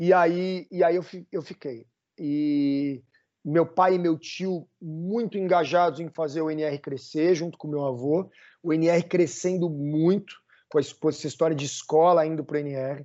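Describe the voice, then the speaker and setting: An ordinary speaking voice from a man, fairly high in pitch with fairly even intonation. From Brazil. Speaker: summer camp director. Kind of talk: podcast interview.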